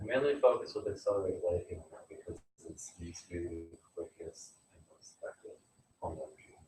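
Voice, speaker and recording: A man talks at a very fast pace with big swings in loudness. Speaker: energy healing teacher. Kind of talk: online workshop.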